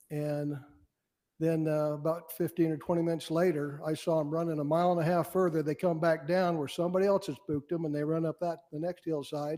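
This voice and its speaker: Talking at a fairly quick pace, a man with an American accent has a fairly high pitch, a dark, mellow tone and monotone, flat intonation, in a very clean recording with a silent background. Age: 60s. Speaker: wildlife board member. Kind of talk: public meeting remarks. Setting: public board meeting. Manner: halting.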